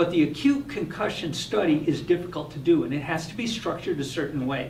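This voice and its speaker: Fairly high male speech, with audible room echo and noticeable background noise. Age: 60s. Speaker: hyperbaric oxygen physician. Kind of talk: live stream Q&A.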